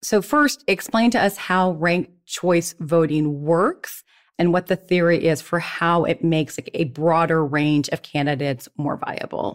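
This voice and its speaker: An ordinary speaking voice: a woman with a fairly low pitch and ordinary pitch variation talks at a fairly slow pace with hardly any pauses. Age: 50s. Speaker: podcast host, former political aide. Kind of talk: interview.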